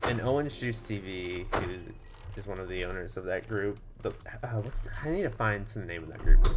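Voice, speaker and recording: The voice is a man's, pitched fairly low. There is audible room echo around it. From Texas. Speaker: gaming streamer. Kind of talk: casual chat. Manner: hesitant, many fillers.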